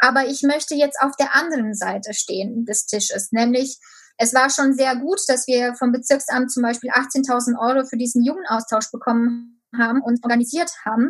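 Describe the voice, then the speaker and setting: A woman with a high voice speaks at a moderate pace, her pitch varying in an ordinary way. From Romania. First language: Romanian (speaking German). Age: 20s. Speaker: local politician. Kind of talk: interview. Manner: hesitant, many filler sounds.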